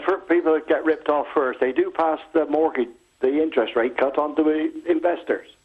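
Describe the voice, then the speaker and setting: A man with a plain, everyday voice, fairly high pitch, fairly even intonation, very even loudness and a fairly quick pace. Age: 60s. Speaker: pensioner caller. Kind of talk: phone-in call. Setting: phone call.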